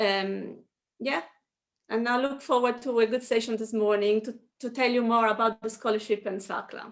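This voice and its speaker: Fairly even intonation at a moderate pace. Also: woman, fairly high pitch for a woman. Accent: Italian. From Italy. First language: Italian. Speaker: food company product developer. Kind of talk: webinar introduction.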